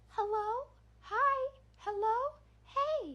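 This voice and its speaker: The voice is a put-on character. It sits extremely high. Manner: eerie, calling out repeatedly.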